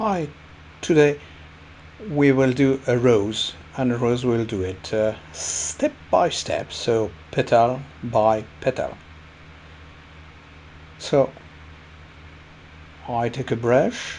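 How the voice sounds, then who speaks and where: A man with a French accent speaks at a very slow pace with long, frequent pauses. His pitch is medium with ordinary variation, and there is noticeable background noise. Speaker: watercolour painting teacher. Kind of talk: painting tutorial narration. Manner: hesitant, many fillers.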